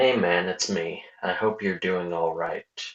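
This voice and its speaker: In a put-on character voice, the speaker sounds raspy, keeps a fairly even intonation, and moves at a fairly slow pace. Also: man. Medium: read story. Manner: raw, emotional.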